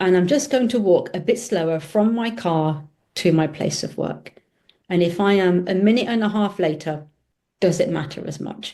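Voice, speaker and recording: The voice carries a British accent and a dark, mellow tone. Its pitch varies in an ordinary way. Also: woman, medium pitch for a woman, moderate pace. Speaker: optometrist and business owner. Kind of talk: casual chat.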